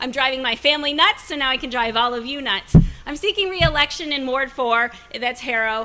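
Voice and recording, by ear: A woman's high-pitched voice, bright and sharp in tone, at a fairly quick pace. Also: ordinary pitch variation.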